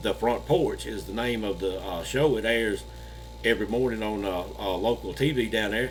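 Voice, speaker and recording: A man talks at a moderate pace while noticeable noise sits in the background. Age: 60s. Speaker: paranormal channel host and storyteller. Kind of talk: casual storytelling. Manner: halting, frequent uh fillers.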